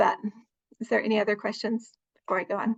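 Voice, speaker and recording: Her voice is fairly high-pitched and somewhat breathy, and she is a woman speaking at a fairly quick pace. Her intonation stays fairly even. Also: dry, close sound with no echo. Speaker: master herbalist. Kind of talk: presentation with Q&A. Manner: fast.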